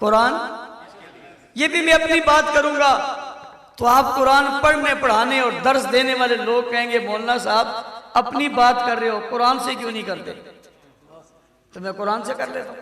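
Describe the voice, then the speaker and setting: A man speaks in a raised, projected voice at an extremely high pitch. His intonation stays fairly even while his loudness swings widely. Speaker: Islamic cleric. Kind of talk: Friday sermon. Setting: mosque.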